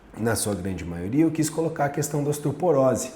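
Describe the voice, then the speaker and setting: With a Brazilian accent, a man speaks in an animated tone with very wide pitch swings, over noticeable background noise and audible room echo. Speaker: nutritionist and fitness coach. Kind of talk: casual talk to camera.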